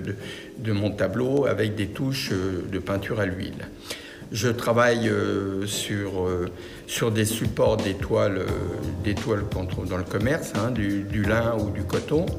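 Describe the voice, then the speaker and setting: Amid noticeable background noise and audible room echo, a man speaks with a fairly low pitch and ordinary pitch variation. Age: 70s. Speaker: painter. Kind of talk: interview monologue. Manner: hesitant, many fillers.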